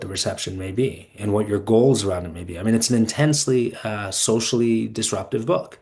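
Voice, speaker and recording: Somewhat breathy speech from a man, medium in pitch, at a fairly quick pace. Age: 40s. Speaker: podcast host and fellow. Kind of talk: podcast interview.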